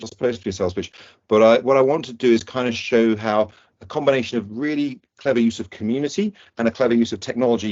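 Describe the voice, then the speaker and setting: A man with a British accent at a very fast pace, with fairly even intonation. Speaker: neurosurgeon and air ambulance doctor. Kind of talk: presentation.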